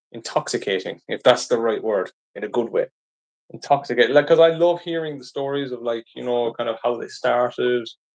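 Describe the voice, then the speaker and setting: The speaker has a strong Irish accent and talks at a fairly quick pace. Pitch varies in an ordinary way. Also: man, medium pitch for a man. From Ireland. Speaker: live streamer. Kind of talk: live stream Q&A chat. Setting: live stream. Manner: casual, hesitant with fillers.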